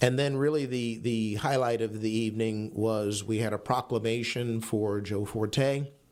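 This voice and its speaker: The speaker keeps a fairly even intonation at a moderate pace, with hardly any pauses. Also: man, medium pitch for a man. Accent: American. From New York. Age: 60s. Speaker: city manager. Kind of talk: radio interview. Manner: halting.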